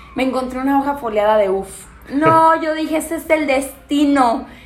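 A woman with a high pitch speaks with audible room echo around her voice. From Mexico, Guanajuato (Pénjamo). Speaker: podcast co-host. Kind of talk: casual chat.

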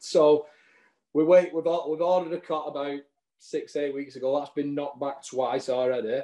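Speaking with a strong Lancashire accent at a moderate pace, a man has a fairly high, dark and mellow voice with fairly even intonation. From Lancashire, England. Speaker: non-league footballer. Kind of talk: casual interview chat.

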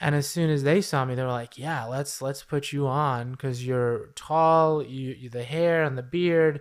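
This man has an ordinary speaking voice, fairly high in pitch, with fairly even intonation at a fairly slow pace. The recording is very clean, with a silent background. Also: hardly any pauses. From New York City. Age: 30s. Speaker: social work professor, model and actor. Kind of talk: casual interview.

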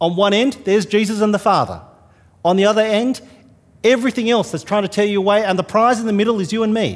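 Very fast speech from a man with a high pitch. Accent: Australian. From New South Wales, Australia. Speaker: visiting minister. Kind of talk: sermon. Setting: church.

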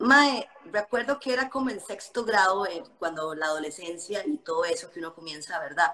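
She has a normal speaking voice and lively intonation. The woman talks at a fairly slow pace. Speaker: fitness influencer. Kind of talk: casual chat. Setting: Instagram live video call.

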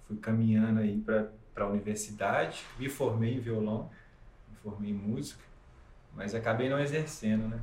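Amid audible room echo, a man of medium pitch speaks at a moderate pace in a somewhat breathy voice, with fairly even intonation and big swings in loudness. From Minas Gerais, Brazil (Ubá, Zona da Mata). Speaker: musician and film composer. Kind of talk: interview, casual chat.

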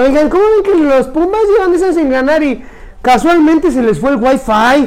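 A man talks in an animated tone with lively intonation. His pace is moderate, with noticeable background noise. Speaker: podcast host. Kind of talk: casual chat.

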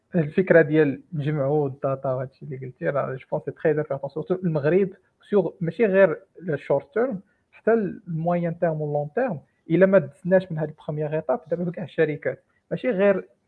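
A man with a fairly high voice and ordinary pitch variation talks at a fairly quick pace in a plain, everyday voice. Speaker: AI engineer. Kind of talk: technical discussion.

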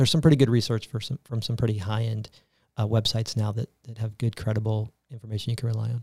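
In a dry, close sound with no echo, a man with an American accent talks at a very fast pace, somewhat breathy, medium in pitch, and with fairly even intonation. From US South, Tampa, Florida. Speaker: healthcare company executive. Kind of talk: interview.

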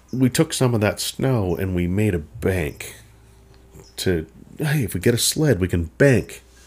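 Somewhat breathy, a man talks at a fairly slow pace. His pitch swings very widely. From Minnesota. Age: 50s. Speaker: podcast host. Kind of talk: solo storytelling monologue. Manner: casual, meandering.

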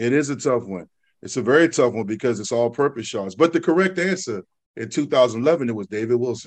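A man's normal speaking voice with an American accent, medium in pitch, fairly quick, with lively intonation against a quiet background. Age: 40s. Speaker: podcast host, former college offensive lineman. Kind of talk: casual sports chat.

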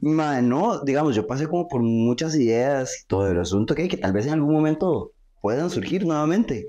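A man with a fairly high pitch and a dark, mellow tone speaks at a moderate pace, his pitch swinging very widely. His loudness stays very even against a quiet background. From Costa Rica. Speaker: professional wrestler. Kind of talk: casual chat.

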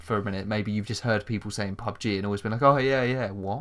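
On a very clean recording with a silent background, a man speaks in a fairly low pitch with ordinary pitch variation. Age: 20s. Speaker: podcast host. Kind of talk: casual chat.

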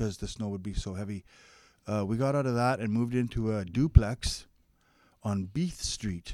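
Here a man speaks at medium pitch. His tone is dark and mellow. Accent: Canadian. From interior British Columbia, Canada. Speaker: registered massage therapist. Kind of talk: casual interview.

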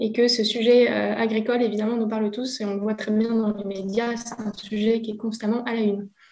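A woman with a fairly high pitch talks at a fairly quick pace, hardly pausing at all. Her intonation is monotone and flat, and there is noticeable background noise. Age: 30s. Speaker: agroecology association worker. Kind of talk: interview.

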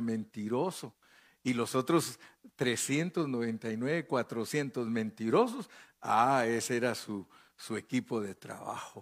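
A man speaks at a medium pitch. The recording is very clean with a silent background. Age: 70s. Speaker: pastor. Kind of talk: sermon.

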